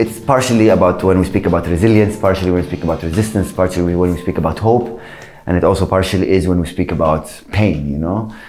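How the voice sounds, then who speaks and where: A man with an Arabic accent talks at a very fast pace in a very deep, low pitch, with ordinary pitch variation. The room echoes audibly and background noise is noticeable. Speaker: musician. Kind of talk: interview.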